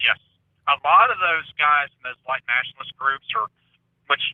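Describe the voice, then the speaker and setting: A man talks with a Southern accent. His pace is moderate. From US South. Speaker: conspiracy theory commentator. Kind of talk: casual chat.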